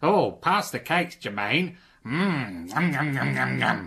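Using a put-on character voice, a man speaks at a medium pitch. His pace is fairly slow. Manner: gluttonous, comic.

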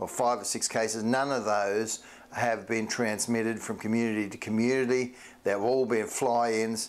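A man speaks at a fairly slow pace with a fairly low pitch. His intonation stays fairly even.

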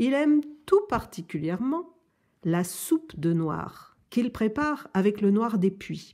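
In a quiet background, a woman speaks very slowly and softly in a gentle, warm, dark and mellow tone, her fairly high pitch swinging very widely. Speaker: adult reading a children's book aloud. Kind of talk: children's story audiobook, reading a picture book aloud. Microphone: phone near.

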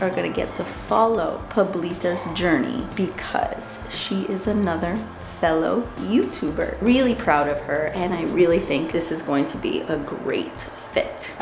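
Clear music plays in the background. Over it, a woman talks at a fairly slow pace. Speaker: bird owner vlogger. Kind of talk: casual vlog chat. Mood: warm, emotional, proud. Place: shop. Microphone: phone near.

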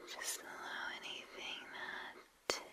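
Whispering, a woman goes at a very slow pace. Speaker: relaxation video host. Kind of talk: soft-spoken guided relaxation. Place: home room. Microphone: studio mic.

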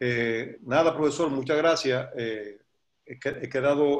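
A man speaks with an ordinary speaking voice. His pitch is fairly high, with ordinary pitch variation. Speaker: sports federation president. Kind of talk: welcome speech.

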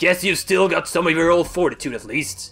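Over faint music in the background, a man puts on a character voice pitched high. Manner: teasing, gruff.

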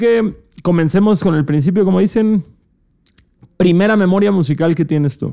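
This man's voice sits at a high pitch, with a dark, mellow tone. He keeps to a moderate pace. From Cancún, Mexico. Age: 20s. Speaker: podcast host. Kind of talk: casual chat. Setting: studio.

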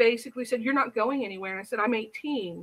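A woman's high-pitched, bright and sharp voice with an American accent, a passionate tone and ordinary pitch variation. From US Midwest, Indiana. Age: 40s. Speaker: reform school survivor; interviewee. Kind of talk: interview. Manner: halting. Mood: serious, recounting painful past. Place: home room. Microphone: webcam.

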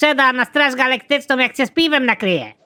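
This is a cartoonish character voice. The recording is very clean, with a silent background. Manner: polite, rambling.

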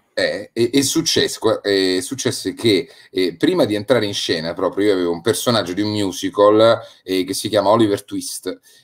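A man speaks in an ordinary speaking voice, fairly low in pitch, at a moderate pace. The recording is very clean, with a silent background. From Rome, Italy. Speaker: radio speaker, actor and voice actor. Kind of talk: casual chat. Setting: live stream.

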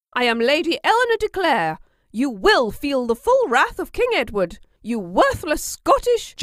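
This put-on character voice is high-pitched and growling, with very wide pitch swings at a moderate pace. The recording is very clean, with a silent background. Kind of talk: haughty. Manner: snarling, furious.

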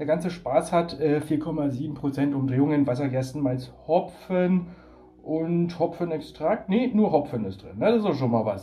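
The speaker is a man with a dark, mellow tone. He talks at a fairly slow pace. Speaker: beer reviewer. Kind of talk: casual vlog chat. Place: home room. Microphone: phone near.

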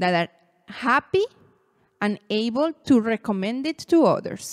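Speaking at a fairly slow pace in a Venezuelan accent, a woman's fairly high voice makes very wide pitch swings, on a very clean recording with a silent background and a dry, close sound with no echo. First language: Spanish. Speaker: marketing educator. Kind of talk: educational talk to camera.

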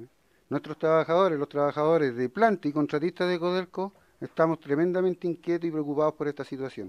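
Against a quiet background, a fairly high-pitched man talks at a very fast pace with a Chilean accent. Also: ordinary pitch variation. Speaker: union representative. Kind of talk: formal testimony to committee. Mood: concerned, earnest. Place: meeting room. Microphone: podium.

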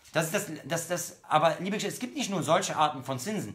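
The man's voice sits high in pitch, with ordinary pitch variation. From Germany, Bonn/Cologne area, Moroccan/Algerian roots; Germany. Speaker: Islamic preacher; speaker. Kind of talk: religious lecture. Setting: online livestream. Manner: hesitant, many fillers. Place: home room. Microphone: phone near.

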